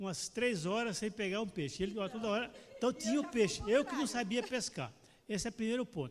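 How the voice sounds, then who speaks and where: This man speaks at a fairly quick pace in a high-pitched voice. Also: ordinary pitch variation. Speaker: church member. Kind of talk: Sunday school class discussion.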